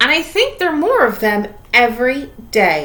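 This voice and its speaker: A woman puts on a character voice with a high pitch. It moves through very wide pitch swings at a moderate pace. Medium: read story.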